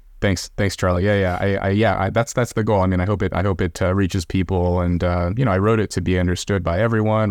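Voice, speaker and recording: With an American accent, the speaker goes at a very fast pace with fairly even intonation in a very clean recording with a silent background. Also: man. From Los Angeles, US. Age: 30s. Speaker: author and social scientist. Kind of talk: interview.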